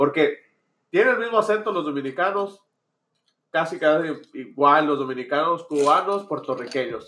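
A man speaks in a bright, sharp tone at a fairly high pitch with ordinary variation. His pace is moderate, broken by long, frequent pauses. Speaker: youtuber. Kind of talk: casual banter podcast.

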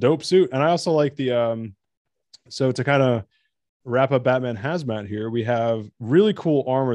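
A man talks at a moderate pace with an American accent. He has an ordinary speaking voice at a medium pitch. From New Jersey. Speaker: podcast host. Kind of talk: casual chat.

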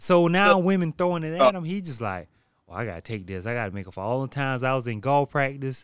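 A man speaks at a very fast pace in a medium pitch, with very wide pitch swings and big swings in loudness. The recording is very clean with a silent background. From South Carolina. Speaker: podcast host. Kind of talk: casual chat. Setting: recording at a beach resort.

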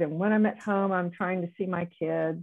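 This is a normal speaking voice with an American accent and ordinary pitch variation. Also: woman. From US South. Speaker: retired neonatologist. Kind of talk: interview.

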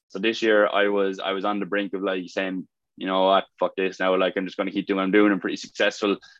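Talking at a very fast pace, a man with a Limerick accent has a fairly low pitch. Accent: Irish (Limerick). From Ireland, County Limerick. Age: 20s. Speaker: fitness coach. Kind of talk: casual talk to online community. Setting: video call. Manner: hesitant, many fillers.

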